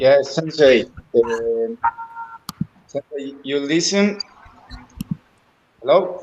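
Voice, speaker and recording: A man with a Spanish accent, fairly high pitch and lively intonation, with long, frequent pauses. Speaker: aikido student. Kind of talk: thank-you speech. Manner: halting.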